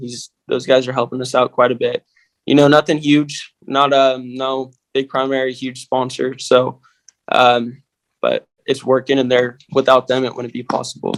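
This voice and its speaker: In a dry, close sound with no echo, a man at a medium pitch speaks at a moderate pace with monotone, flat intonation. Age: young. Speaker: stock car driver. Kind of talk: interview.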